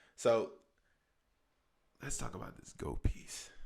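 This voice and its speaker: A man uses a put-on character voice that is raspy and booming. He speaks at a fairly slow pace. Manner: slow, deliberate.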